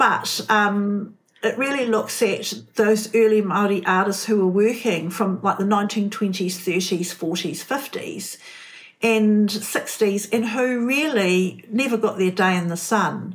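A somewhat breathy woman speaks at a very slow pace, with a medium pitch and ordinary pitch variation. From New Zealand. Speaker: art curator and writer. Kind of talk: interview conversation.

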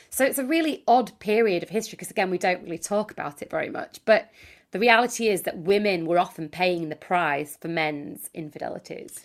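A woman speaks at a fairly quick pace with medium pitch, lively intonation and big swings in loudness. The recording is very clean, with a silent background. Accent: Yorkshire. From Yorkshire, northern England. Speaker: author and dating consultant. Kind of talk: podcast interview.

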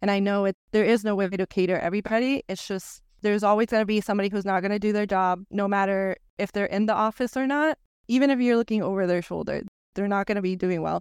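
Talking at a very fast pace in a Spanish accent, a woman has a medium pitch and fairly even intonation, on a very clean recording with a silent background and a dry, close sound with no echo. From Venezuela. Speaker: architect. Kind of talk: casual chat.

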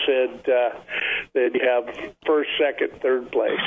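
There is noticeable background noise. A man speaks over it at a fairly slow pace. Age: 60s. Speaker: fishing guide. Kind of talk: casual radio interview. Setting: phone call.

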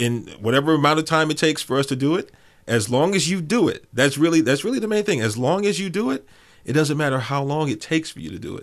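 A man's very fast, fairly high voice with lively intonation and big swings in loudness against a quiet background. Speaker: podcaster. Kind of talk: casual chat.

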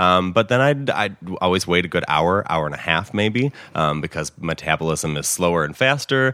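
With a Chicago accent, a man talks at a moderate pace, his very deep, low pitch carried by lively intonation. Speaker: dispensary employee. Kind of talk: casual interview chat.

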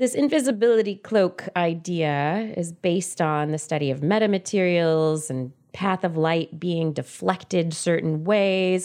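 With hardly any pauses, a woman talks at a fairly low pitch with ordinary pitch variation. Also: fairly slow pace. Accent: American. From California Central Valley. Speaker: podcast host, former scientist. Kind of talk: casual chat.

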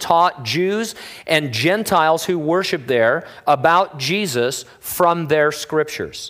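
Using a high pitch with ordinary pitch variation, a man speaks at a moderate pace in an American accent. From Southern California. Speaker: pastor. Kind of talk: sermon.

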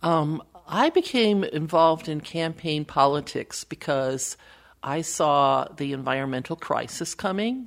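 A woman with an American accent speaks at a very deep, low pitch and a fairly slow pace with lively intonation. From Wisconsin, US Midwest. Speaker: political campaign strategist and author. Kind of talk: interview conversation.

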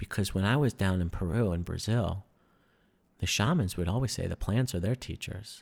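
With lively intonation, a fairly low-pitched man speaks in a New York accent in a very clean recording with a silent background. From New York City. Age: 30s. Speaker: breathwork and wellness instructor, military veteran. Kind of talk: casual interview chat.

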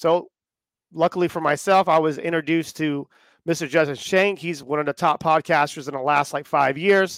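The recording is very clean, with a silent background and a dry, close sound with no echo. A man talks at a moderate pace with fairly high pitch. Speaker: podcast host. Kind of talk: casual live chat. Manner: animated, joking.

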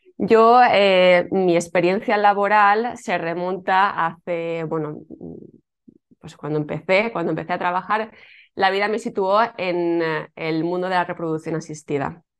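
Against a quiet background, a woman with an ordinary speaking voice and medium pitch talks at a fairly slow pace with ordinary pitch variation. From Spain, Alicante. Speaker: yoga teacher and former fertility clinic worker. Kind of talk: interview.

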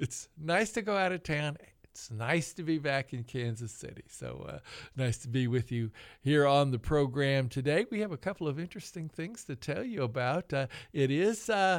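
A man's fairly high voice with very wide pitch swings at a moderate pace, in a very clean recording with a silent background. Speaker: radio host. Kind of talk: radio interview. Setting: studio.

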